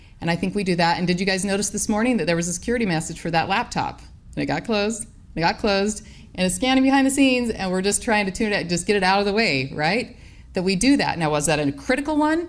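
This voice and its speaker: A woman talks very fast at a medium pitch with lively intonation, and the room echo is audible. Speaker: professor. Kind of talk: conference talk.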